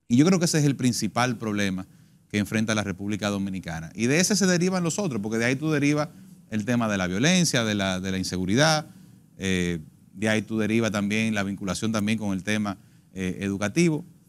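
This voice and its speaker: Fairly low in pitch, a man speaks at a very fast pace. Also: lively intonation. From Dominican Republic. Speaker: politician, congressional pre-candidate; candidate. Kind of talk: political panel debate. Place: studio. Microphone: lapel.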